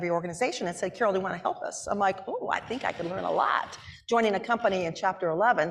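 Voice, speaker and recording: A woman talks at a very fast pace in an animated tone, her pitch medium. Noticeable background noise runs underneath. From Wyoming. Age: 60s. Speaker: business executive. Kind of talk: onstage interview.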